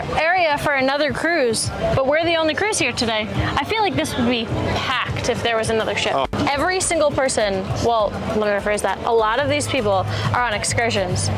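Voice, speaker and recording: Over music in the background, a woman speaks at a fairly quick pace, the sound dry with no echo. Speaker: travel vlogger. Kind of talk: casual vlog chat. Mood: cheerful, upbeat. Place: market. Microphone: lapel.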